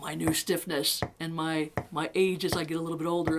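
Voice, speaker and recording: Noticeable background noise sits behind a woman's voice. She speaks at a fairly low pitch with fairly even intonation. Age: 60s. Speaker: guitar teacher. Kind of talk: tutorial. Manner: casual.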